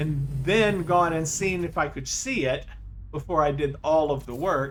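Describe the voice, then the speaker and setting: Room echo is audible as a man speaks at a fairly slow pace. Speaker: video game streamer. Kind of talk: gameplay commentary. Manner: halting; quiet.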